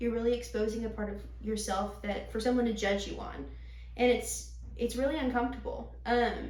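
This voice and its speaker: The woman keeps a moderate pace. Her voice echoes audibly in the room, with noticeable background noise present. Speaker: vocal teacher. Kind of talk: interview. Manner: loud.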